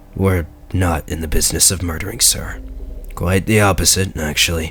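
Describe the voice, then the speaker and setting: Over clear background noise, a man puts on a raspy character voice with a very deep, low pitch and lively intonation, talking at a moderate pace. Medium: read story. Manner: formal, polite.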